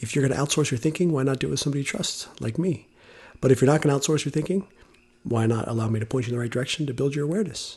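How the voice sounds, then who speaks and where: This is a raspy, put-on character voice. It rattles along at a very fast pace. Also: man, medium pitch for a man. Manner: keeping voice down so as not to disturb neighbors.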